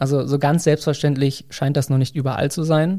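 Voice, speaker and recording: A man's fairly high-pitched voice with a dark, mellow tone, monotone and flat in intonation, at a fairly quick pace. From Germany, near Bielefeld (East Westphalia). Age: 30s. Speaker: marketing manager and new father. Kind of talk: interview.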